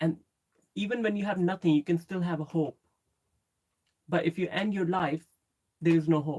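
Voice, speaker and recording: Fairly low for a woman and dark, mellow in tone, her voice moves at a moderate pace with fairly even intonation and long, frequent pauses, recorded dry and close with no echo. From Pakistan. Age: 30s. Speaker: YouTuber. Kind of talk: live stream chat. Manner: casual.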